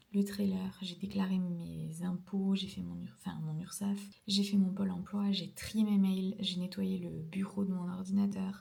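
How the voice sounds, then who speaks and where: Over noticeable background noise, a woman talks at medium pitch with a monotone, flat intonation and a fairly slow pace. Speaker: ceramics vlogger. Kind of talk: casual vlog diary. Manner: hesitant, many fillers.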